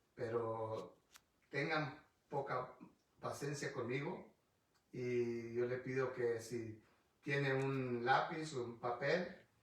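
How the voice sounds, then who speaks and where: A man's medium-pitched, somewhat breathy voice, very slow with long, frequent pauses, fairly even intonation and audible room echo. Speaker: pastor. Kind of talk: bible study sermon. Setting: livestream video on Facebook. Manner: halting, frequent restarts.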